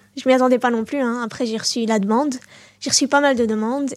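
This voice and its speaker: A woman speaks in a plain, everyday voice at a fairly high pitch. The recording is very clean, with a silent background and a dry, close sound with no echo. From Belgium, Brussels (Molenbeek). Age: 20s. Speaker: ju-jitsu champion. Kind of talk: interview.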